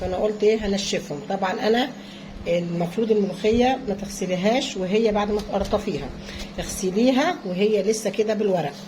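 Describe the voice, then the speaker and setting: A woman of medium pitch speaks at a fairly slow pace with ordinary pitch variation, in a room with audible echo and noticeable background noise. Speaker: home cooking vlogger. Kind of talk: cooking tutorial. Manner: halting.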